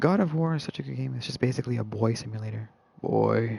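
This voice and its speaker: Very wide pitch swings at a fairly quick pace over noticeable background noise. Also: man. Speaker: gamer streamer. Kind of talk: casual chat. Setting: live stream.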